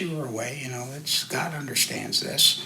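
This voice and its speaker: Moderate pace, with audible room echo and noticeable background noise. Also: man. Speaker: churchgoer sharing faith story. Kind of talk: conversational interview.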